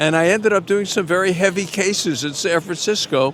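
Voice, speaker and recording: With a Brooklyn accent, a man speaks at a moderate pace against noticeable background noise. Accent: New York (Brooklyn). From New York, Brooklyn. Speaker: baseball radio broadcaster, former defense attorney. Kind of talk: interview.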